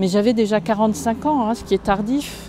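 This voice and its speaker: A woman with a medium pitch and ordinary pitch variation talks as noticeable noise fills the background. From France, Lorraine (Moselle). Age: 60s. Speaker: writer. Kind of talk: interview. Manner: halting, frequent hesitations.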